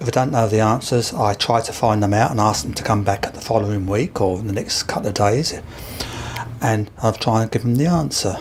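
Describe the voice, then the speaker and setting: A man with a Kent accent talks at a moderate pace in a fairly low pitch, with noticeable background noise behind him. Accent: Kent, southeast English. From Isle of Sheppey, Kent. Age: 70s. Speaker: museum volunteer, retiree. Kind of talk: interview.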